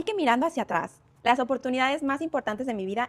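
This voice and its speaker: A woman talks at a very fast pace with a Mexican accent. Her pitch is high and her intonation lively. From Mexico. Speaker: career content creator. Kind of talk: motivational talk to camera. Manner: conversational.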